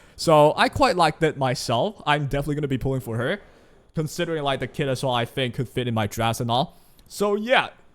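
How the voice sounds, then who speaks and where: A fairly high-pitched man with a Chinese accent, very fast and lively in intonation. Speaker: gaming YouTuber. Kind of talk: casual commentary. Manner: casual, conversational.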